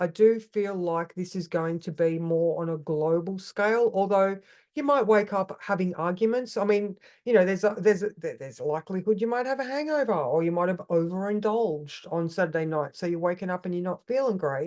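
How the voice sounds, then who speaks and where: A woman speaks fairly quickly with hardly any pauses, at a medium pitch with ordinary pitch variation. Her tone is dark and mellow against a quiet background. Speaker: astrology coach. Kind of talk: coaching talk on weekly astrology. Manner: halting, many false starts.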